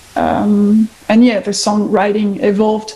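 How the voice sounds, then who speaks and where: With a French accent, a woman speaks at a fairly high pitch and a fairly slow pace against noticeable background noise. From France. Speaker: guitarist. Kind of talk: interview. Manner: halting.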